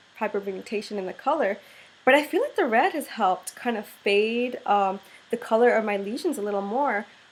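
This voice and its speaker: At a moderate pace, a woman talks in a fairly high voice with ordinary pitch variation. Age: 20s. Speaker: beauty product reviewer. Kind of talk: product review vlog. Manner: casual, hesitant with many fillers. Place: home room. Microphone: webcam.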